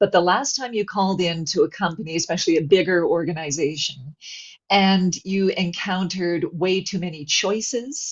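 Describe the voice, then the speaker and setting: A woman's somewhat breathy, fairly low voice at a moderate pace with ordinary pitch variation. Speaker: voice actor. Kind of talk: webinar interview answer.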